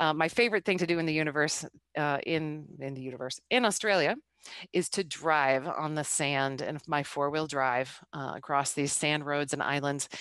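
A woman with an American accent has a very deep, low pitch. The sound is dry with no echo and the background is quiet. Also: ordinary pitch variation, moderate pace. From United States. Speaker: intercultural business coach. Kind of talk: presentation. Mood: enthusiastic, friendly. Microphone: headset.

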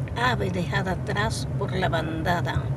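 A woman speaking at a very slow pace, the sound dry with no echo, over loud background noise. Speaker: grandmotherly poetry reciter. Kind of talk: poetry reading. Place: car.

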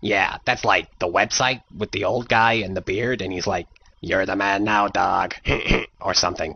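In a cartoonish character voice, a man speaks at a moderate pace with a fairly low pitch and fairly even intonation. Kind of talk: comic overacting, dumb cartoon teen. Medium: comedy sketch. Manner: giggly, dopey, easily amused.

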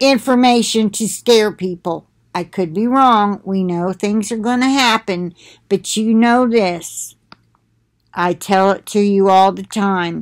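A woman at a very slow pace with ordinary pitch variation and a quiet background. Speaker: religious vlogger. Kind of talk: casual spiritual talk to viewers. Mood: earnest, preaching. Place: home room. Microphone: webcam.

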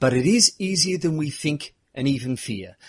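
With a fairly high pitch and lively intonation, a man sounds somewhat breathy. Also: dry, close sound with no echo. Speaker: podcast host. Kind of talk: podcast interview.

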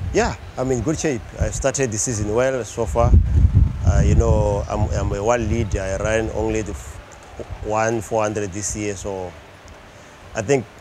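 A man's fairly low voice at a fairly slow pace, with ordinary pitch variation, long, frequent pauses, noticeable background noise and a dry sound with no echo. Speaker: interviewee. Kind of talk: interview answer. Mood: relaxed, confident. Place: stadium. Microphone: lapel.

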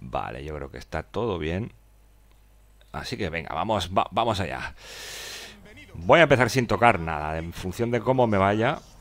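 The voice has very wide pitch swings and vocal fry, broken by long, frequent pauses. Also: man, fairly low pitch for a man, moderate pace. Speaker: gaming streamer. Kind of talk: live gameplay commentary. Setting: live stream. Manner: halting.

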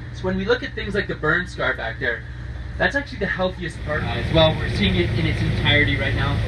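There is noticeable background noise while a man talks at a fairly quick pace. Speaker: boat tour guide. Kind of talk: guided tour commentary.

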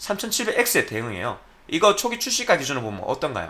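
A man speaks with a high pitch and a bright, sharp tone. His pitch swings very widely. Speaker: PC hardware YouTuber; tech commentator. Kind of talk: solo commentary video. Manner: careful articulation. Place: home room.

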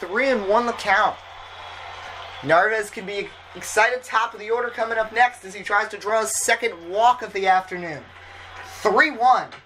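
The pace is fairly slow. Noticeable background noise is present. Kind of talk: live sports commentary, play-by-play of a simulated baseball game.

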